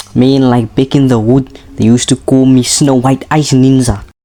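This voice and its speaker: At a moderate pace, the talker speaks with a non-native accent. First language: not English. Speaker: gaming youtuber. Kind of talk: gameplay commentary narration. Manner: casual, joking.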